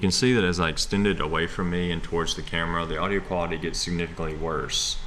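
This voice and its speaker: Over noticeable background noise, a man talks very fast. His very deep, low voice keeps a fairly even intonation. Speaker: 3D printing and product design youtuber. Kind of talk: tutorial narration. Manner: monotone. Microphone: small camera shotgun mic, sound worse when held far away.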